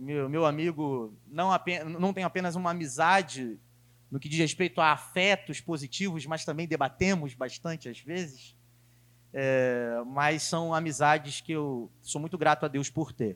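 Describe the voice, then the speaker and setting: On a very clean recording with a silent background, a man with an ordinary speaking voice and fairly high pitch talks at a fairly slow pace with ordinary pitch variation. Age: 20s. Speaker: preacher. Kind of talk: sermon.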